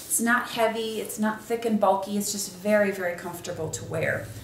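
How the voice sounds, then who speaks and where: Speaking at a fairly quick pace with fairly even intonation, a woman is heard with audible room echo and light background noise. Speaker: product reviewer. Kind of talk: casual product review. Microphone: camera far.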